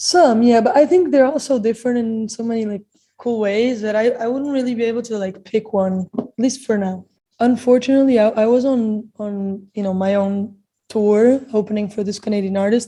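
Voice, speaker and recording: In a Portuguese accent, a woman speaks at a moderate pace with ordinary pitch variation. Her voice is somewhat breathy, fairly high in pitch and dark, mellow in tone. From Portugal. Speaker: singer. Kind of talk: interview. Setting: video call.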